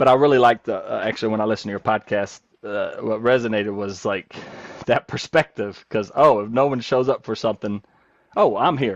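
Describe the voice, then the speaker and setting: The speaker has a Southern US accent and moves at a fairly quick pace with ordinary pitch variation. The sound is dry and close, with no echo. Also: man, medium pitch for a man. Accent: Southern US accent, still noticeable. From North Carolina. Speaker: nurse coach. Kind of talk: podcast interview. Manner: animated, rapid run-on talk; halting, many fillers and restarts.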